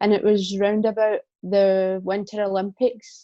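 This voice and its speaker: In a Scottish accent, a woman speaks at medium pitch with a dark, mellow tone and monotone, flat intonation against a quiet background. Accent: Scottish, toned down to talk proper. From Scotland. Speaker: hockey player and women's hockey ambassador. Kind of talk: podcast interview. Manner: speaking more carefully than usual.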